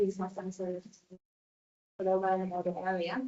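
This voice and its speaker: The speaker is a woman. She talks with a Latvian accent. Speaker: event organiser. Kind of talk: public presentation. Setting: council meeting. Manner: hesitant, many fillers.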